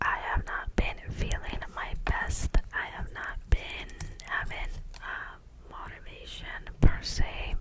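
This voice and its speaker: Whispering at a very slow pace, a woman makes big swings in loudness over noticeable background noise. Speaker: ASMR creator. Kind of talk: ASMR affirmations, talk to camera. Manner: whispered; soft-spoken.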